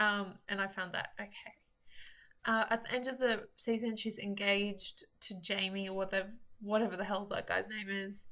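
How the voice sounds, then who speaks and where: A woman's voice of medium pitch with a bright, sharp tone. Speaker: YouTuber reviewing TV shows. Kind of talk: casual vlog monologue. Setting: recording self on camera. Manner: casual, many fillers (um, like).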